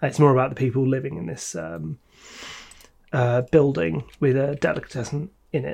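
Somewhat breathy, a man speaks at medium pitch. His pace is moderate. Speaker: podcast host. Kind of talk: casual chat.

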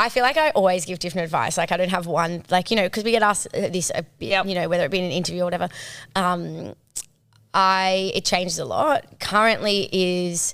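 Over a silent background in a very clean recording, an ordinary speaking voice moves at a fairly quick pace with ordinary pitch variation. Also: woman, medium pitch for a woman. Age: 30s. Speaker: advertising agency owner and content creator. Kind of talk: casual chat.

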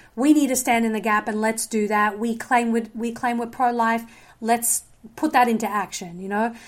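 Someone talks at a moderate pace with an Australian accent and fairly even intonation. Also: woman, fairly high pitch for a woman. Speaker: filmmaker and journalist. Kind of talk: casual chat.

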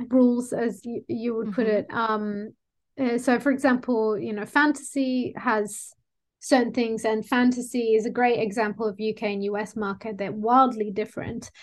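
An Australian accent comes through at a moderate pace. Nothing else can be heard behind the voice. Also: woman. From Sydney, Australia. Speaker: book cover designer. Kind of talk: casual chat.

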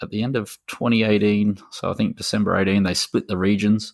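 Speaking at a fairly quick pace, a man with an Australian accent is heard on a very clean recording with a silent background. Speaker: gaming podcast co-host. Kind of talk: casual chat.

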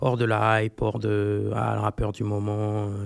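At a very slow pace, the speech comes through a very clean recording with a silent background. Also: man. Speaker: rapper. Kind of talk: casual chat. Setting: studio.

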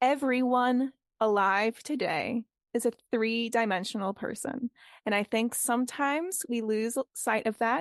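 A woman with a Boston accent, fairly high in pitch, at a fairly slow pace, with ordinary pitch variation, very even loudness, a dry, close sound with no echo and a quiet background. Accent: American (Boston). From Boston, US. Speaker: theatre company founder and playwright. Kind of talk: interview.

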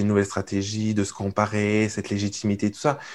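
At a moderate pace, a man talks in a fairly low pitch with a plain, everyday voice. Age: 30s. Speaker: entrepreneur coach and podcaster. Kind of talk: casual interview conversation.

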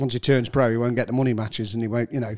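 A man talks at a very fast pace. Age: 60s. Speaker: pool referee and player. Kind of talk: casual chat. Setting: studio.

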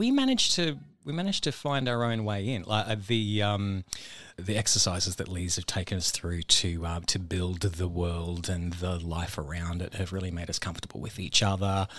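At a moderate pace, a man with an Australian accent speaks in a very deep, low pitch. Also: ordinary pitch variation, very clean recording, silent background. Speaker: stage actor. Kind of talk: casual interview.

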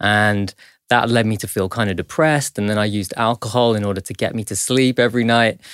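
Delivery is very fast with fairly even intonation. The recording is very clean and silent behind, the sound dry and close with no echo. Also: man, fairly low pitch for a man. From northern England. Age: 40s. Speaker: meditation teacher. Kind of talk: casual chat.

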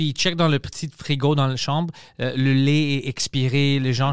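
A man's fairly high voice at a moderate pace with fairly even intonation, dry and close with no echo, on a very clean recording with a silent background. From Greece. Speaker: podcast host. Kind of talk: casual chat.

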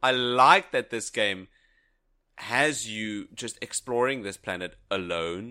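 A bright, sharp tone with lively intonation at a very slow pace, on a very clean recording with a silent background. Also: man, medium pitch for a man. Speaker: podcast co-host. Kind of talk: casual chat.

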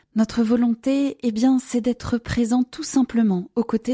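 A woman with a fairly high yet dark, mellow voice speaks fairly slowly and somewhat breathily, the sound dry and close with no echo. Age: 30s. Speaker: charity volunteer. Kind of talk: recorded appeal.

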